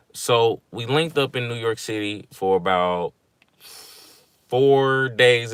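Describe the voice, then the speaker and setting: A man with a Mississippi accent on a very clean recording with a silent background. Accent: Mississippi Southern. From Mississippi, US South. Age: 20s. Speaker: vlogger. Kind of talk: livestream vent, casual talk. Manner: casual, rambling with fillers.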